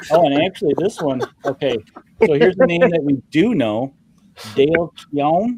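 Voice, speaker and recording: With a Midwestern accent, a man speaks at a moderate pace in a fairly high pitch and a dark, mellow tone, his intonation lively and broken by long, frequent pauses, the sound dry and close with no echo. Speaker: comic art show host. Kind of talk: casual chat.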